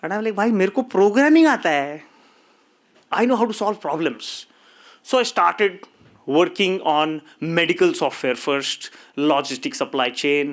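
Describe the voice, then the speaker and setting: On a very clean recording with a silent background, a high-pitched man with a Marathi accent speaks at a fairly slow pace in an animated tone, with very wide pitch swings. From India. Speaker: tech company co-founder. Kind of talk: conference talk. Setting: stage with audience.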